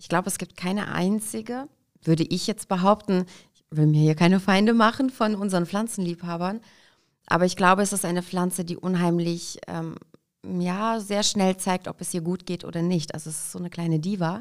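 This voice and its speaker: An unremarkable speaking voice from a woman, fairly low-pitched, at a moderate pace with ordinary pitch variation and big swings in loudness, on a very clean recording with a silent background. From Kazakhstan, raised in Hesse, Germany from age five. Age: 30s. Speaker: entrepreneur, shop franchise founder. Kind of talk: interview.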